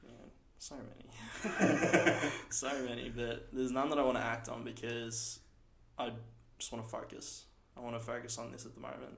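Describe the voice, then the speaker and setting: Long, frequent pauses break up speech in an Australian accent at a moderate pace. The loudness swings widely, and the room echo is audible. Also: man, medium pitch for a man. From Australia (Ballarat, Victoria). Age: 20s. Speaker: small business owner. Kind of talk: casual interview chat.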